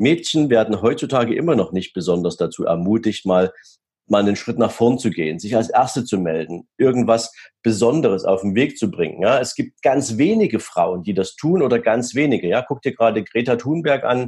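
A man talks at a moderate pace with a medium pitch and a dark, mellow tone. His intonation is lively. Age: 40s. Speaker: wealth manager and keynote speaker. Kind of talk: podcast interview.

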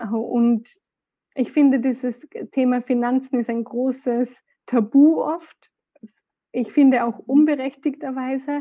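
With a slight Austrian accent, a woman speaks very slowly in a high, dark, mellow voice, her intonation fairly even and her pauses long and frequent. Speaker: podcast guest, course participant. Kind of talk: casual interview.

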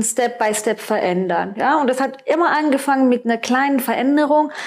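A woman talks at a high pitch that varies in an ordinary way. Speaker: nutritionist. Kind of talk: interview.

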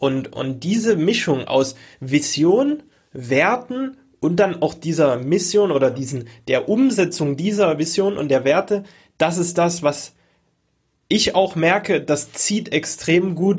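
With lively intonation, the speaker goes at a fairly slow pace on a very clean recording with a silent background. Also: man. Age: 20s. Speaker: online course entrepreneur and podcast host. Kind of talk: casual interview chat.

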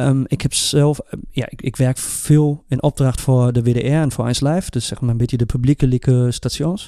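Speaking with a German accent, a man keeps a moderate pace, a dark, mellow tone, and fairly even intonation. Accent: German-accented Dutch. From Germany. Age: 30s. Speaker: podcast co-host. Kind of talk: casual chat. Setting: studio.

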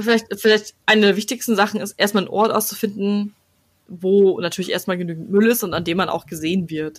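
An unremarkable speaking voice from a woman, medium-pitched, fairly quick, with fairly even intonation. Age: 20s. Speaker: podcast host. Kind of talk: casual chat.

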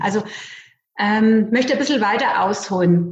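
In a room with audible echo, a woman speaks at a fairly high pitch with ordinary pitch variation. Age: 40s. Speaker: bank clerk and network marketer. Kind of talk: interview.

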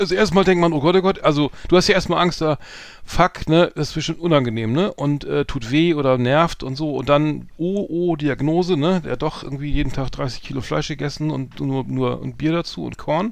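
Moderate pace and ordinary pitch variation in a man's fairly high-pitched voice, a plain, everyday voice. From northern Germany, Hamburg. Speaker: podcast co-host. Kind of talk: casual chat.

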